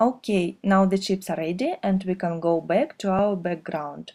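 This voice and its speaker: At a moderate pace, a woman speaks at a medium pitch with a dark, mellow tone. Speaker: craft video maker. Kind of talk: tutorial.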